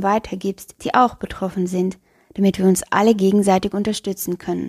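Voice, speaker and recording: The voice is dry and close with no echo, flat and monotone in intonation, at a moderate pace. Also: woman. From Luxembourg. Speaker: podcast host and educator. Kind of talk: solo podcast monologue.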